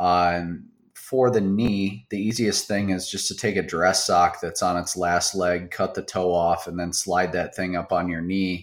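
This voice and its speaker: In a very clean recording with a silent background, a man with an American accent and a very deep, low voice speaks at a fairly slow pace with fairly even intonation. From US Midwest, South Central Wisconsin. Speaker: chiropractor. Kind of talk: casual interview.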